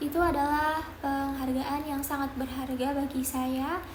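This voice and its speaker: A woman speaks at a high pitch in a monotone, flat intonation and a fairly slow pace. Noticeable background noise and audible room echo fill the recording. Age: 20s. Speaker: job applicant, management graduate. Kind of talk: mock job interview self-introduction. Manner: formal.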